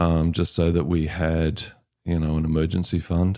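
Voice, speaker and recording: The voice has a dark, mellow tone and a New Zealand accent. Its intonation is monotone and flat. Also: man. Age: 60s. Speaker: home buyer sharing his story. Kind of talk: podcast interview. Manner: hesitant, many fillers.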